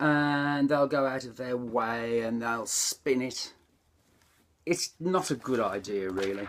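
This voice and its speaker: Talking at a very slow pace, a man makes very wide pitch swings. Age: 60s. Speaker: vlogger and retired motor mechanic. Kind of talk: casual monologue vlog. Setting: conservatory, door open. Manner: halting, with fillers.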